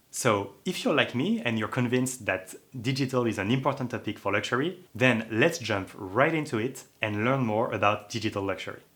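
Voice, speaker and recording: Speaking with a slight French accent, a man keeps a medium pitch, ordinary pitch variation and a fairly quick pace. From France. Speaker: online course instructor. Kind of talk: lecture.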